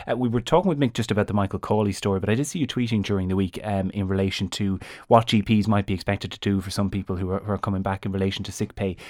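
Speaking very fast in an Irish accent with fairly even intonation, the voice comes through on a very clean recording with a silent background. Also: man, fairly low pitch for a man, hardly any pauses. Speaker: radio presenter. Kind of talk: newspaper review discussion.

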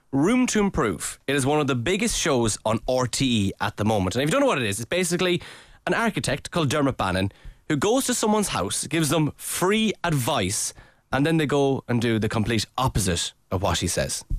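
Here a man talks at a fairly high pitch. His pitch swings very widely while his loudness stays very even. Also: fairly quick pace. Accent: Irish. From Ireland. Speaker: podcast host. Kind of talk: casual banter podcast.

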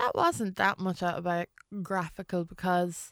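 Heard on a very clean recording with a silent background and a dry, close sound without echo, a woman with an Irish Midlands accent speaks at a moderate pace, her pitch medium and her intonation fairly even. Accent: Irish midlands (Westmeath). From Ireland, County Westmeath (born in London). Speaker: comedian. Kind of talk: casual interview chat.

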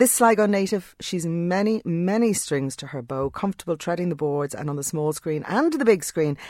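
A woman with an ordinary speaking voice talks at a fairly quick pace and a fairly low pitch, with hardly any pauses. Her intonation is lively, and the recording is very clean with a silent background. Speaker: radio host. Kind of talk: radio interview. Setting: studio.

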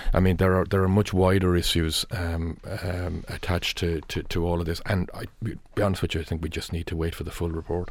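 Here a man speaks in a rural Irish accent with a very deep, low pitch. His delivery is monotone and flat in intonation, at a fairly quick pace. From rural Ireland. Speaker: newspaper news editor. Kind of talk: newspaper review panel discussion. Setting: radio studio. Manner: halting.

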